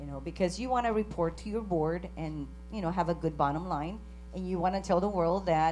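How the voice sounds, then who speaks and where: A woman with a Spanish accent speaks at a fairly quick pace amid audible room echo. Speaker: credit union CEO. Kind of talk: conference panel discussion.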